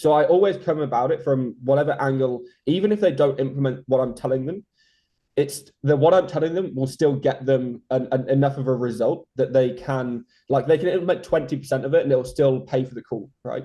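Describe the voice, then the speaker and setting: A man speaks at a fairly quick pace in a fairly high, somewhat breathy voice. His pitch varies in an ordinary way. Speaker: SEO consultant. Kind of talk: interview. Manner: fast.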